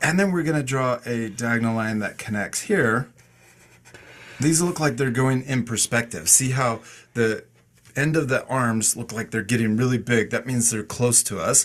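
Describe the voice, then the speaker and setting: Here a man uses a normal speaking voice at a medium pitch and a moderate pace. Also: ordinary pitch variation. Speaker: art teacher. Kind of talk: tutorial. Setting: video call. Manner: calm and encouraging.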